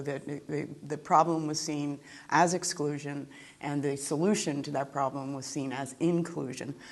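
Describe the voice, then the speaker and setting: Speaking at a moderate pace, a woman uses an American accent with a very deep, low pitch and fairly even intonation. Audible room echo surrounds her voice. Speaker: law professor. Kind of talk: lecture. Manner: reading from a script.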